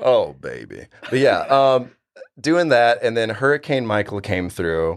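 With an American accent, this ordinary speaking voice moves at a moderate pace and carries lively intonation. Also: man. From Florida panhandle. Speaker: bartender. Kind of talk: casual chat.

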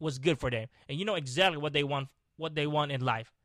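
An animated, passionate male voice, bright and sharp in tone, at a moderate pace, recorded dry and close with no echo. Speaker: podcast host. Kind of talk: motivational rant. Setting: video recording. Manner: angry, emphatic, repeating short commands; animated, passionate, swearing, scolding the listener.

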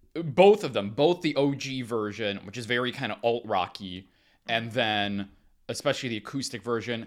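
In a very clean recording with a silent background, a man speaks in a plain, everyday voice at medium pitch and a moderate pace, with ordinary pitch variation. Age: 30s. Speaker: podcast co-host. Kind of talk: casual chat.

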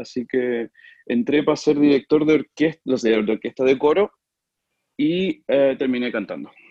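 With a dark, mellow tone, a man speaks at a moderate pace in a fairly high voice with ordinary pitch variation. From Chile, Talca. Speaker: opera singer. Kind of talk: casual interview.

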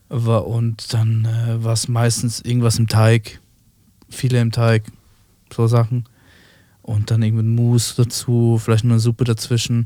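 A man talks in a flat monotone at medium pitch, his tone dark and mellow. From Switzerland. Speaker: chef. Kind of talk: casual chat.

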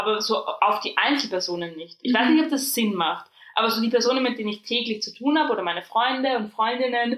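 A woman's high voice at a fairly quick pace, with ordinary pitch variation. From Austria. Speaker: podcast co-host. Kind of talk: casual chat.

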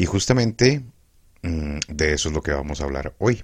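Very deep and low, a man's voice moves at a fairly slow pace with vocal fry. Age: 30s. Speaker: podcaster. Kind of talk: personal monologue.

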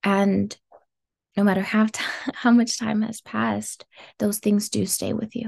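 A woman with an American accent speaks at a fairly slow pace, leaving long, frequent pauses. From US West Coast, South Los Angeles. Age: 20s. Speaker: climate justice activist. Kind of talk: interview.

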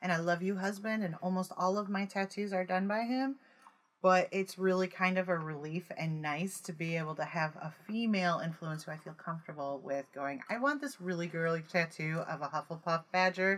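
A woman with a normal speaking voice talks at a fairly quick pace. Her pitch is medium, with ordinary pitch variation. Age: 50s. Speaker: podcast co-host. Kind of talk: casual chat.

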